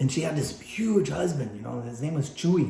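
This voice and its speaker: With an animated tone and fairly high pitch, a man speaks amid audible room echo. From Texas, San Antonio. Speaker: photographer and podcast host. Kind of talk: casual podcast chat. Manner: loud.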